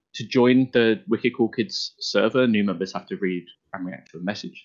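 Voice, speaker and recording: A man's fairly low-pitched, an unremarkable speaking voice, with ordinary pitch variation at a moderate pace. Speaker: podcast host. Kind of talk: casual interview chat.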